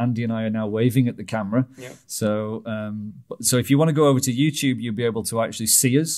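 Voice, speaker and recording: The speech moves at a fairly quick pace with fairly even intonation. The background is quiet. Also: man. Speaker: podcast host. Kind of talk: podcast chat. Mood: light, joking. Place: studio. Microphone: studio mic.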